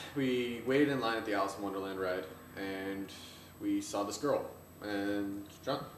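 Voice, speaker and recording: Fairly low male voice at a moderate pace, with ordinary pitch variation, long, frequent pauses, audible room echo and noticeable background noise. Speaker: video blogger. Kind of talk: casual chat. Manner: loud.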